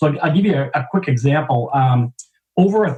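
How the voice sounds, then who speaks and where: A man with a Boston accent, fairly high in pitch and somewhat breathy, with ordinary pitch variation at a moderate pace. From Boston, US. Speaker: business executive. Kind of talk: interview. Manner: halting, many fillers.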